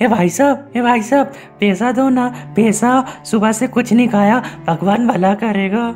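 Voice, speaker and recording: A cartoonish character voice, female-sounding and whiny, sits at a fairly high pitch. Clear music plays in the background. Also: moderate pace. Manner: whining, pleading, then delighted.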